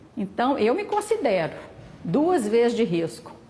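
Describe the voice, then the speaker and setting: Noticeable background noise runs under a woman who speaks at a fairly slow pace. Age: 70s. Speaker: vaccine trial volunteer. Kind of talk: interview.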